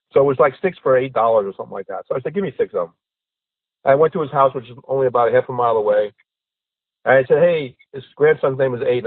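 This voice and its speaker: Talking at a very fast pace, a man uses a fairly high pitch and lively intonation. His tone is animated. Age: 60s. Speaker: podcast guest. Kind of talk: casual chat.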